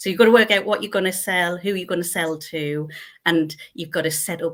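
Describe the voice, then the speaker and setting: With a North East England accent, a woman talks at a fairly low pitch with ordinary pitch variation. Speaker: accountant. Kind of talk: interview answer. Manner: bubbly, effervescent.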